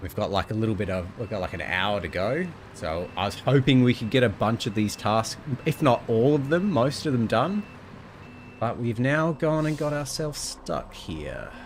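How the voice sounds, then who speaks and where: A man with a medium pitch and very wide pitch swings at a moderate pace, against noticeable background noise. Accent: Australian. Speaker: video game streamer. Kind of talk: casual gameplay commentary.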